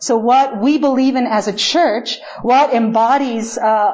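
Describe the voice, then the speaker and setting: Over noticeable background noise, a woman speaks with a Spanish accent. Her high pitch varies in an ordinary way. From Chile. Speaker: pastor. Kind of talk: sermon. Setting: church.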